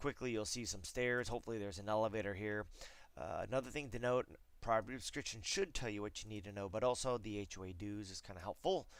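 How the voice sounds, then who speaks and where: The speaker is a man with a medium-pitched voice. He talks at a fairly quick pace. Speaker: real estate agent. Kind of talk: screencast tutorial. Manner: fast; casual, filler words.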